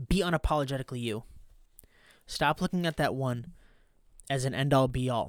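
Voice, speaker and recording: On a very clean recording with a silent background, a man talks at a moderate pace. His fairly high pitch shows ordinary variation. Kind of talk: pep talk. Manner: intense, emphatic, motivational, driving repetition; punchy, fired-up, direct.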